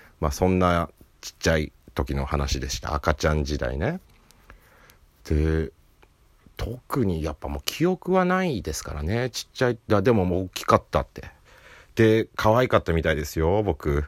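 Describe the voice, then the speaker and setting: A man with a very deep, low pitch speaks at a moderate pace with lively intonation, the sound dry and close with no echo in a very clean recording against a silent background. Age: 30s. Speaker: comedian. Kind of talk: casual solo talk. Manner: laughing often.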